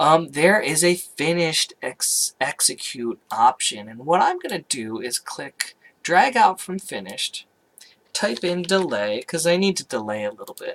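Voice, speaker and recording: A man with a high pitch speaks at a fairly slow pace, with very wide pitch swings and big swings in loudness. The sound is dry and close, with no echo. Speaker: communication instructor making software tutorials. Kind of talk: tutorial. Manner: hesitant, filler-heavy.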